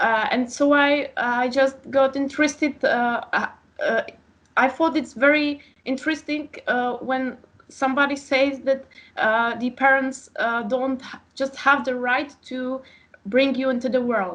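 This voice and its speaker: With a Czech accent, a woman speaks at a fairly slow pace in a high-pitched voice with fairly even intonation. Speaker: author and philosophy PhD student. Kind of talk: interview. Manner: halting, many fillers.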